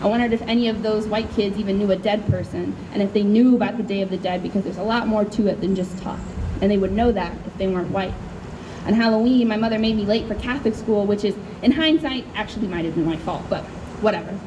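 A woman's medium-pitched voice with a Chicago accent, very fast and fairly even in intonation, amid noticeable background noise. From US Midwest. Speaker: poet. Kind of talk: poetry reading. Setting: stage with audience. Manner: loud. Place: tent. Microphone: handheld.

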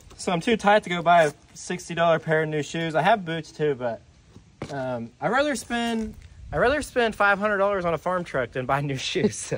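With lively intonation, a man speaks at a high pitch and a moderate pace. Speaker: truck restoration vlogger. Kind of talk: casual vlog chat. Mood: joking, self-deprecating. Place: open country. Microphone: phone near.

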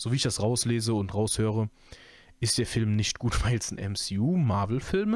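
A man with a medium-pitched voice, an ordinary speaking voice, talks at a moderate pace on a very clean recording with a silent background. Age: 20s. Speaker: YouTube podcaster, film and series commentator. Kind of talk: casual solo podcast monologue. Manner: relaxed, many filler sounds.

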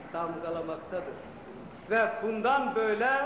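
Audible room echo and light background noise surround a man's high voice. He speaks at a very slow pace with ordinary pitch variation. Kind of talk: formal ceremonial speech. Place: hall. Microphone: old recording.

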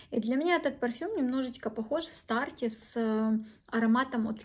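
The woman's pitch is high, with ordinary variation. She speaks at a moderate pace. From Ukraine. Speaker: beauty blogger. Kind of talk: product review. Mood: enthusiastic, warm. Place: home room. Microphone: phone near.

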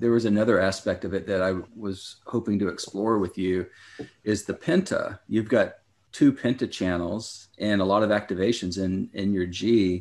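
A man with a plain, everyday voice and fairly low pitch keeps his intonation fairly even on a very clean recording with a silent background. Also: moderate pace. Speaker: podcast co-host. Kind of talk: casual interview conversation.

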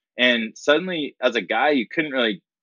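This is a normal speaking voice with an American accent. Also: man. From Florida and Colorado, US. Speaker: company founder. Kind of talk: interview.

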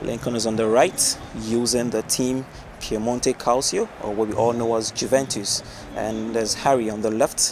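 A man at a medium pitch and moderate pace, with fairly even intonation and noticeable background noise. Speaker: esports shoutcaster. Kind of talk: live esports match commentary.

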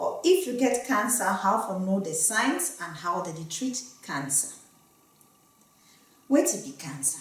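With audible room echo, a woman talks at a fairly slow pace, with very wide pitch swings, big swings in loudness, and long, frequent pauses. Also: medium pitch for a woman. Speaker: medical doctor. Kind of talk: health education talk to camera. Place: studio.

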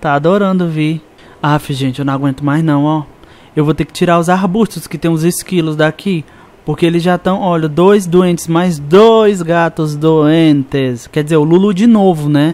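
Moderate pace and ordinary pitch variation from a man with a high pitch. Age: 20s. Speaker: gaming youtuber. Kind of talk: gameplay commentary. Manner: animated.

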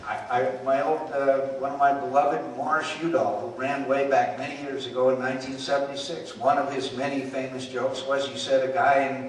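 A man talks in a monotone, flat intonation, with light background noise and audible room echo. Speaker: politician. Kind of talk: campaign town hall speech. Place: hall. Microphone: handheld.

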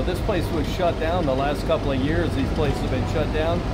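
Loud background noise behind a fairly quick pace of speech. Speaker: travel vlogger. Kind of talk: casual vlog commentary. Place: bus. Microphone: phone near.

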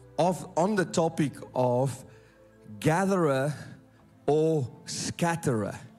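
With faint music in the background, a man talks at a fairly high pitch with ordinary pitch variation. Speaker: pastor, senior pastor of a church in London. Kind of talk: sermon preached to a congregation. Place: stage. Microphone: handheld.

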